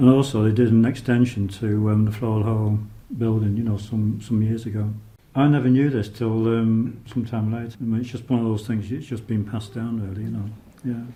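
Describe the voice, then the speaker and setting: A man speaks at a fairly quick pace with audible room echo. His intonation is monotone and flat. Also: medium pitch for a man. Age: 70s. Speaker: local resident. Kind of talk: oral history testimony. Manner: hesitant.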